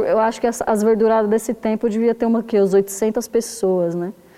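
A woman talks in an ordinary speaking voice at a fairly high pitch. She keeps a moderate pace with ordinary pitch variation. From south side of São Paulo, Brazil. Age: 30s. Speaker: poet, zine author. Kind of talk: casual interview.

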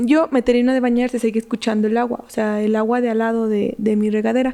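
The voice is an unremarkable speaking voice. Its intonation holds fairly even throughout. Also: woman. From Mexico, Michoacán. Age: 20s. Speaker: psychologist and fitness influencer. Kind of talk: casual chat, telling horror stories.

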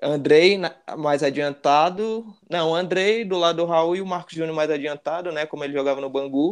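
An unremarkable speaking voice talks at a moderate pace. Its pitch varies in an ordinary way. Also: man, fairly high pitch for a man. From Brasília, Brazil (Gama). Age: 20s. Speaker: football fan, channel supporter. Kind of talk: casual chat.

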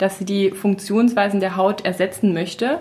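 A woman's somewhat breathy voice at a medium pitch, fairly even in intonation, at a moderate pace. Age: 30s. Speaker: natural cosmetics entrepreneur. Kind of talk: casual chat.

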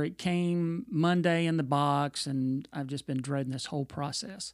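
A man with ordinary pitch variation on a very clean recording with a silent background. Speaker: podcast co-host and musician. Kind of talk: casual chat.

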